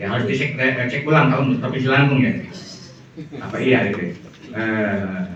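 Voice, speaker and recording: A man speaks with ordinary pitch variation, accompanied by audible room echo and noticeable background noise. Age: 60s. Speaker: Islamic lecturer. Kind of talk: lecture.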